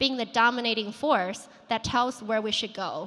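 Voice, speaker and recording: With a Chinese accent, a woman with a fairly high pitch and a bright, sharp tone speaks at a moderate pace with ordinary pitch variation. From China, moved to US at 14. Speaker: founder and conference speaker. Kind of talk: conference keynote talk. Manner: conversational with filler words.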